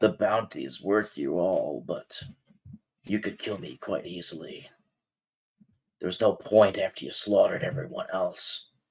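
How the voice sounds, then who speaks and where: A man puts on a character voice, talking at a moderate pace with long, frequent pauses. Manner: resigned, matter-of-fact.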